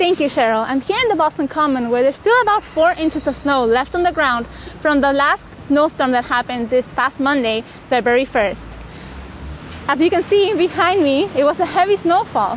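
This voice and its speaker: Speaking at a moderate pace with very even loudness, a woman uses a high pitch and lively intonation amid noticeable background noise. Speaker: reporter, multimedia journalist. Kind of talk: TV news stand-up report.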